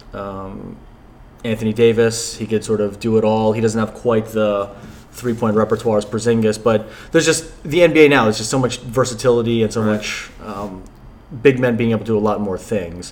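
An ordinary speaking voice with an American accent and fairly even intonation. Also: man, medium pitch for a man, moderate pace. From New Jersey. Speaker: sports fan guest. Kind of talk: casual chat.

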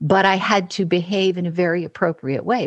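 A woman is speaking. Her voice has vocal fry. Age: 60s. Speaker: voice and speech coach. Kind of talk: casual interview conversation.

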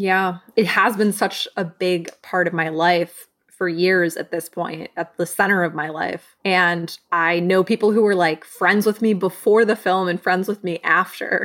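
Using a normal speaking voice, a woman with an American accent talks at a fairly slow pace and medium pitch, with hardly any pauses. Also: fairly even intonation. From US Midwest, Michigan. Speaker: film writer and director. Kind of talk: casual interview.

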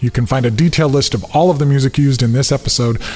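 Very fast talking from a man at a medium pitch, noticeable background noise underneath. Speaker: podcast host. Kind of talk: scripted narration.

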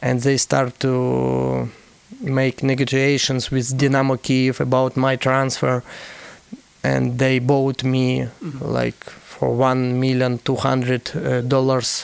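Amid noticeable background noise, a man talks very slowly in a monotone, flat delivery. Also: medium pitch for a man. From Ukraine. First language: Ukrainian or Russian. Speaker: professional footballer. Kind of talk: interview. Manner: halting.

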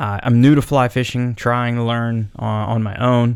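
A man's medium-pitched voice, monotone and flat, on a very clean recording with a silent background. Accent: western Pennsylvania. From Pennsylvania, Cambria County. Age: 30s. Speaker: podcast host, outdoorsman. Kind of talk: solo podcast monologue. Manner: casual, filler-heavy.

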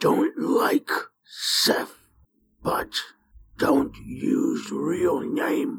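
This is a put-on character voice with a growling sound. It moves at a very slow pace, broken by long, frequent pauses. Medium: actual play. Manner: clipped, terse, few words.

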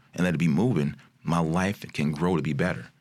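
Fairly quick speech from a man with a very deep, low pitch, vocal fry and ordinary pitch variation. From Chicago area, Maywood, Illinois. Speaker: entrepreneur. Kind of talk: casual chat.

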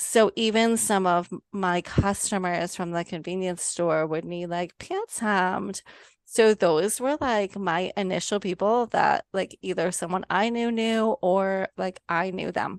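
In a dry, close sound with no echo and a quiet background, an unremarkable speaking voice moves at a fairly slow pace with fairly even intonation and hardly any pauses. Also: woman, medium pitch for a woman. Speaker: sewing business owner. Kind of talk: casual interview chat.

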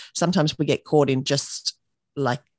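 In an Australian accent, a woman speaks at a fairly quick pace with a very deep, low pitch and fairly even intonation, the sound dry and close with no echo over a quiet background. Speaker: business owner and mother. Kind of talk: casual interview chat.

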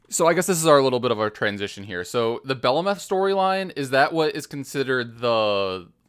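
The recording is very clean, with a silent background. A man with an unremarkable speaking voice talks at a fairly high pitch and a moderate pace. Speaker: podcast host. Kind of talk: casual banter about a game.

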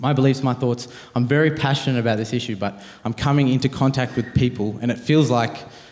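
Very fast and with an Australian accent, a man speaks in fairly even intonation. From Australia, Penrith, Sydney. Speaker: university student and pro-life activist. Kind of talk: interview on stage.

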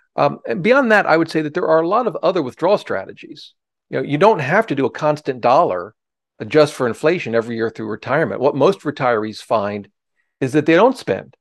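With vocal fry and very wide pitch swings, a man talks at a fairly quick pace in a fairly high pitch, the sound dry and close with no echo over a quiet background. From Ohio. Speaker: personal finance author and former securities lawyer. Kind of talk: interview, explaining investing.

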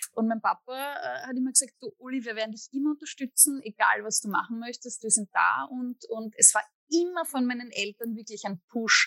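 A woman's high-pitched, bright, sharp voice with an Austrian accent, ordinary pitch variation, a moderate pace, hardly any pauses, and a dry, close sound with no echo. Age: 30s. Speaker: musician and psychologist. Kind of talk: interview.

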